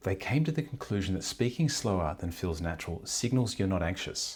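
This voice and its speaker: Somewhat breathy and fairly quick, a man speaks in a very deep, low voice with lively intonation on a very clean recording with a silent background. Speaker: speaking coach. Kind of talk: tutorial. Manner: fast.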